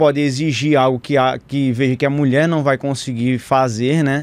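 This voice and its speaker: With a normal speaking voice, a man talks at a moderate pace in a fairly high pitch and fairly even intonation. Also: quiet background. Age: 30s. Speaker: physician. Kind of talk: casual chat.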